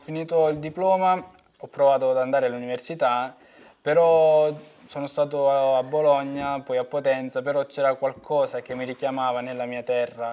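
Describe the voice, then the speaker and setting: A man is speaking. His tone is dark and mellow. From southern Italy, Basilicata (Val d'Agri). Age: 20s. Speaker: farmer. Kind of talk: personal interview testimony.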